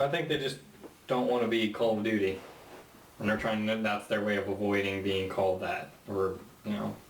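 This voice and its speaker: Someone soft-spoken talks at a moderate pace with long, frequent pauses. Noticeable background noise and audible room echo fill the recording. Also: man, fairly low pitch for a man, ordinary pitch variation, very even loudness. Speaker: gaming podcast host. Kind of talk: casual chat. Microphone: too quiet.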